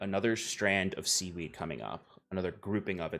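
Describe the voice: Fairly even intonation in plain reading aloud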